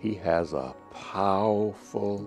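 A man talks with ordinary pitch variation. Faint music sits in the background. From US South. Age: 80s+. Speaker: pastor. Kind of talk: interview reminiscence. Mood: reflective, earnest. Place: office. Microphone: lapel.

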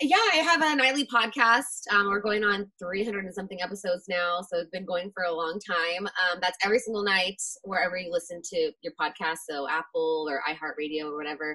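A woman with a medium pitch talks at a fairly quick pace with lively intonation and hardly any pauses. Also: quiet background. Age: 20s. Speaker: radio host. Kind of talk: casual chat. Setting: video call. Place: home room. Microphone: video call.

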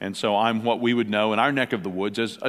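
Speaking at a very fast pace, a man uses a fairly low voice. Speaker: pastor speaking at a conference. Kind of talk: conference talk. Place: hall. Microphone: headset.

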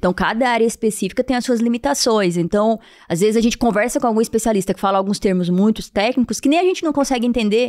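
A woman speaks at a very fast pace with hardly any pauses. Her pitch is fairly high, and the background is quiet. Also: ordinary pitch variation. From Piauí, Brazil. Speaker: vascular surgeon. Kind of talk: interview. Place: studio. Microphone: studio mic.

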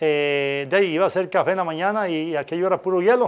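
The man talks at a fairly quick pace. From Costa Rica, Pérez Zeledón (San Isidro); Costa Rica. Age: 60s. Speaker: former football referee and music teacher; interview guest. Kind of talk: interview. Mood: relaxed, animated. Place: studio. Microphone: lapel.

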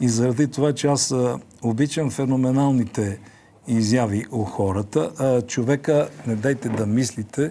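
A man's dark, mellow tone at a fairly slow pace, with ordinary pitch variation. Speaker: TV show host. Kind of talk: TV host introduction. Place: studio. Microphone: lapel.

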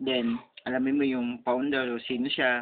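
The delivery is monotone, with flat intonation. The pace is moderate. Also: man. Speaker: vlogger. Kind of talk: casual monologue. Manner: halting, many fillers.

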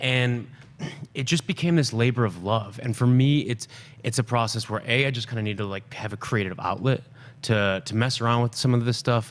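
His pitch varies in an ordinary way. The man talks at a fairly quick speed. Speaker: film director. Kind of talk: casual interview. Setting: studio. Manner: animated. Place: studio. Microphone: studio mic.

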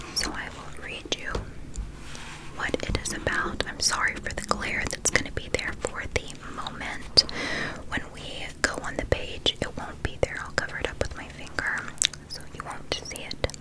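A soft-spoken voice over loud background noise. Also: moderate pace. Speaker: book reader. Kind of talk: soft read-aloud, ASMR-style. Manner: soft ASMR talking voice.

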